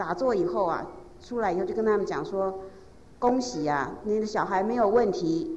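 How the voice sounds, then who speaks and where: The woman's moderate pace carries through noticeable background noise. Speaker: interpreter or assistant relaying testimonies. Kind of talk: storytelling testimony.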